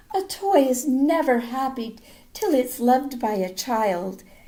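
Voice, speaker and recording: Her pitch is high. The woman speaks in a put-on character voice. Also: fairly slow pace. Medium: read story.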